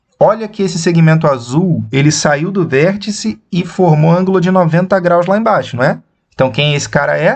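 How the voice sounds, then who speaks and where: A man's high pitch at a fairly slow pace. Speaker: math teacher. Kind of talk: lecture. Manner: slow, deliberate.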